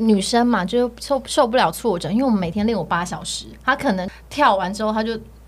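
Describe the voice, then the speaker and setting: This woman has an ordinary speaking voice, pitched fairly high. Her intonation is lively and her pace moderate. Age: 30s. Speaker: e-commerce entrepreneur, former trainee entertainer. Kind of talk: casual interview chat.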